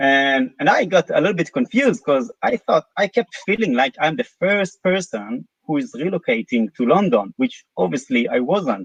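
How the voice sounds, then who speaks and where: Using very wide pitch swings, a man with an Israeli accent speaks at a fairly slow pace in a dry, close sound with no echo. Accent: non-British, Israeli. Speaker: company CEO. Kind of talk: live interview. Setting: live stream. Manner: hesitant, many fillers.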